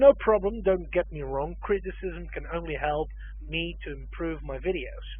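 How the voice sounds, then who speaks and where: A man speaks in a Dutch accent at a moderate pace, his loudness swinging widely. There is noticeable background noise. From Netherlands. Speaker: language teacher. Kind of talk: tutorial.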